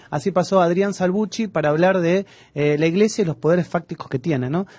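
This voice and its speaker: In an Argentine accent, a man with a high pitch talks at a fairly quick pace with ordinary pitch variation, in a dry, close sound with no echo. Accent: Argentine Spanish (Rioplatense). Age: young. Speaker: radio host. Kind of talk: radio interview.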